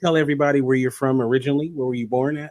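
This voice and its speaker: Pitched fairly high, a man's voice races along at a very fast pace. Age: 30s. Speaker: show host. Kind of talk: interview. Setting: live online broadcast.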